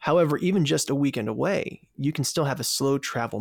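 In a plain, everyday voice with an American accent, someone speaks at a moderate pace on a very clean recording with a silent background and a dry, close sound with no echo. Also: man. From Virginia, US. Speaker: food travel podcast host. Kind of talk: interview.

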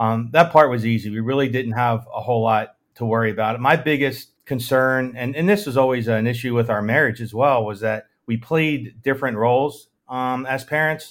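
A man with an American accent and an unremarkable speaking voice, medium in pitch with ordinary pitch variation, at a moderate pace, in a very clean recording with a silent background. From Maryland, US. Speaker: sales director and father. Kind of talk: casual chat.

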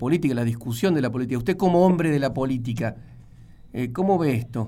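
With an unremarkable speaking voice, a man talks at a fairly quick pace. His pitch is fairly high and his intonation is lively. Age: 40s. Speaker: radio host. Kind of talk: radio interview.

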